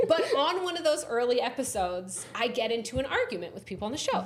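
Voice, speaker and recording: Over noticeable background noise and audible room echo, a woman talks very fast at a high pitch with very wide pitch swings. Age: 30s. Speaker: comedy writer and reality TV runner-up. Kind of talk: podcast interview, casual chat.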